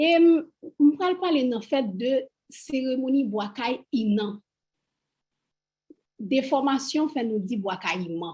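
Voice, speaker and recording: A woman with a Haitian accent speaks at a moderate pace in a high pitch, her tone dark and mellow. Her intonation is lively, and she leaves long, frequent pauses. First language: Haitian Creole. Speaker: Vodou priestess, panelist. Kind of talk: panel discussion.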